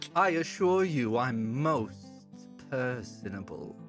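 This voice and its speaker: Clear music plays behind a man doing a put-on character voice at a medium pitch and a fairly slow pace. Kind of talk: polite, deceptively courteous. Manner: sinister, smooth.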